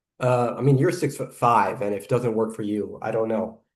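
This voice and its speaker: Here is a man talking. His pitch sits in the medium range. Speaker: YouTube reaction commentator. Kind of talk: reaction video commentary. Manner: hesitant with filler words.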